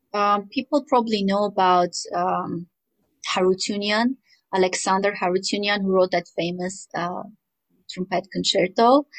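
A woman speaks with an Armenian accent at a medium pitch. Her pace is moderate and her pitch varies in an ordinary way. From rural Armenia. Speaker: composer. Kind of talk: interview.

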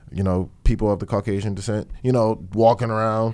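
The speaker talks at a fairly quick pace in a New Jersey accent. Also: man. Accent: New Jersey urban. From Newark, New Jersey. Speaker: rapper. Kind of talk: interview.

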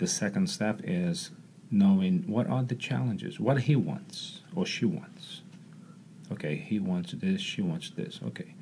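A man in a Portuguese accent, medium in pitch with a dark, mellow tone and vocal fry, at a fairly slow pace with very wide pitch swings. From Brazil, Rio de Janeiro. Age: 40s. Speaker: martial arts coach. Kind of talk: casual chat. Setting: studio.

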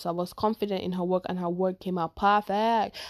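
At a moderate pace, a woman with a Nigerian accent and a medium pitch speaks in an animated tone on a very clean recording with a silent background. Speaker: podcast host. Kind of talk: casual chat.

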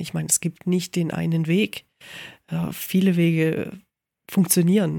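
In a very clean recording with a silent background, a woman talks at a moderate pace with a dark, mellow tone and a fairly low pitch. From Allgäu, southern Germany. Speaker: photographer, podcast co-host. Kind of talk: casual chat.

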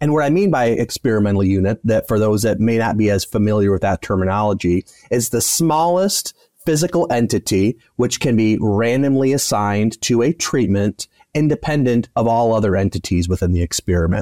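A man with an American accent at a medium pitch, fairly quick pace and lively intonation, with a dry, close sound and no echo. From US Midwest, West Michigan. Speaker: veterinarian and animal science professor. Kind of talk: interview. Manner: halting, repeats words.

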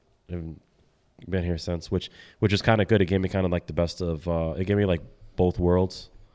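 Speaking at a fairly quick pace yet with long, frequent pauses, a man delivers a very deep, low, dark and mellow voice in a flat monotone, recorded very cleanly over a silent background. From Milford, raised after birth in the Bronx. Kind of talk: casual chat. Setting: drinking podcast session.

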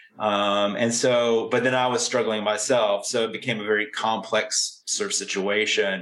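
A man's monotone, flat voice at a medium pitch with an American accent and very even loudness, over noticeable background noise. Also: moderate pace, hardly any pauses. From southwestern Virginia, US. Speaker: crime novelist and writing professor. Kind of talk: interview conversation.

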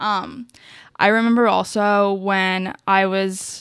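On a very clean recording with a silent background, a woman speaks at a medium pitch. Her intonation is monotone and flat. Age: 20s. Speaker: podcast host, PR worker. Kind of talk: casual interview. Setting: at home in her apartment. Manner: many fillers, laughing.

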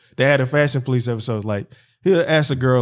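Animated and at a fairly quick pace, a man with an American accent speaks at a medium pitch. The recording is very clean, with a silent background. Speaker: podcast host. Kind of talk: casual chat. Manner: animated, talks over co-host.

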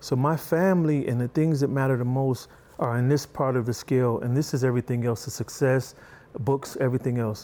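Talking at a fairly quick pace, a man with a medium-pitched, dark and mellow voice keeps his loudness very even and his intonation fairly even. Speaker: martial arts instructor and author. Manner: soft-spoken and gentle.

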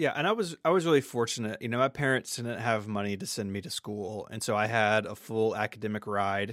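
This man talks at a fairly quick pace in a normal speaking voice, medium in pitch with ordinary pitch variation, on a very clean recording with a silent background. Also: hardly any pauses. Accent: American. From US South, Memphis suburb. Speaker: podcaster and tech blogger. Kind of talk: interview conversation.

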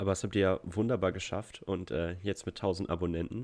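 A man speaks with a very deep, low voice. The background is quiet. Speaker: podcast host. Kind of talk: casual chat.

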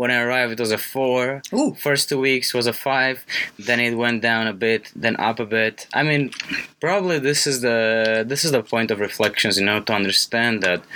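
A man's medium-pitched voice at a moderate pace, with ordinary pitch variation and very even loudness over noticeable background noise. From Romania. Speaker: college radio co-host. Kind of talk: casual chat. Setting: studio.

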